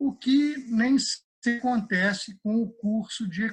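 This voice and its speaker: This man's voice is high-pitched with ordinary pitch variation. He speaks at a very slow pace. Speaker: economist and economics professor. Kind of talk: interview. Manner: halting, many repetitions and fillers.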